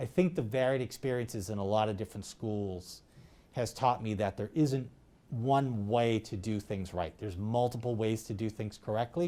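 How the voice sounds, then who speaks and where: Speaking with an American accent, a man has a dark, mellow tone, ordinary pitch variation and a moderate pace. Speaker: high school principal. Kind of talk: interview.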